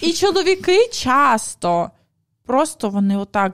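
A woman is speaking. The background is quiet. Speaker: podcast host. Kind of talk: podcast conversation. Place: studio. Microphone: studio mic.

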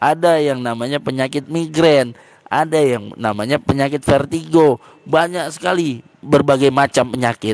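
The sound is dry with no echo as a man speaks at a moderate pace. His pitch is fairly high, with ordinary variation. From East Aceh, Indonesia; Aceh, Indonesia. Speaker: speaker. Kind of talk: religious explanation. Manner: halting with many fillers. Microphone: handheld.

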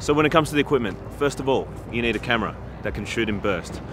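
With a dry sound that has no echo, a man talks at a very fast pace with ordinary pitch variation amid noticeable background noise. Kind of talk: tutorial. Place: waterside.

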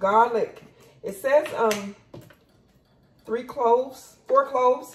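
Light noise sits in the background. The speaker is a woman. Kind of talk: casual cooking tutorial. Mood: relaxed, upbeat. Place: kitchen. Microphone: camera far.

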